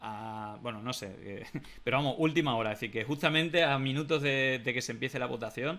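Bright and sharp in tone, a man speaks at a fairly quick pace with ordinary pitch variation. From Spain. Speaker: political talk show host. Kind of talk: casual political discussion. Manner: halting, many fillers. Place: home room.

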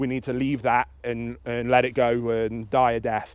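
The recording is dry and free of echo. A man talks at a moderate speed. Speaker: dog trainer. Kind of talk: tutorial. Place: open country.

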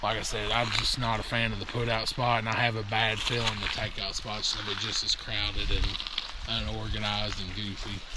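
A man talks at a fairly quick pace in a dry sound with no echo, against loud background noise. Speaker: kayaking vlogger. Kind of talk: casual vlog chat. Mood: mildly annoyed at crowds. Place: waterside. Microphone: phone near.

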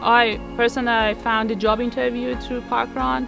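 Iranian accent at a moderate pace, dry with no echo, with clear music in the background. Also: woman. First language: Persian. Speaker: runner. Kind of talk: casual personal testimonial to camera. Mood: warm, reflective. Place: garden.

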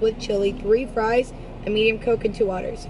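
Over noticeable background noise, a woman talks at a very fast pace in a monotone, flat intonation. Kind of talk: customer service order taking. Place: street.

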